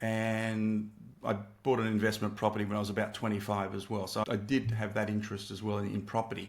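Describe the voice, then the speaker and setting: With an Australian accent, a man speaks very fast at a fairly low pitch, his intonation monotone and flat. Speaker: entrepreneur and former math teacher. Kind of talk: interview. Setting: video call. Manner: halting.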